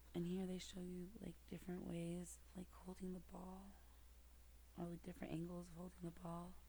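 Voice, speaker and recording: The speaker is soft-spoken, with a gentle tone and a moderate pace. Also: woman. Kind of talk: soft-spoken picture book reading, ASMR. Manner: soft-spoken, gentle.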